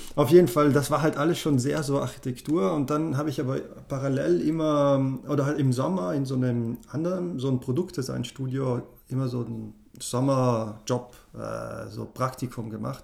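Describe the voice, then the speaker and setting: A man speaks at medium pitch in an ordinary speaking voice. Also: ordinary pitch variation, moderate pace. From South Tyrol, Italy (German-speaking). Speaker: animator and app designer. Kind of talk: casual interview chat.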